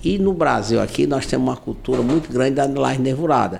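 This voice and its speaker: Fairly quick speech from a man, with noticeable noise in the background. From Ceará, Brazil. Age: 60s. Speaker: civil engineer and entrepreneur. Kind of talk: interview. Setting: in his office.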